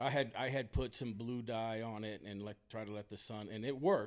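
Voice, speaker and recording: In a very clean recording with a silent background, a man with an American accent and a plain, everyday voice speaks at a fairly quick pace, medium in pitch with ordinary pitch variation. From Texas. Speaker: golf course superintendent. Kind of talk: casual chat. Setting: rental house at a seminar.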